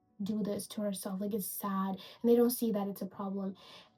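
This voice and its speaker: A woman speaks at medium pitch and a fairly quick pace. Music plays in the background. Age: 20s. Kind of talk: casual video essay rant to camera. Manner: casual, animated.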